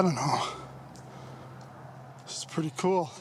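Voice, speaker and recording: A man over noticeable background noise. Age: 70s. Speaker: railroad history vlogger. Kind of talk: casual walking vlog narration. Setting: outdoors. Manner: folksy, conversational.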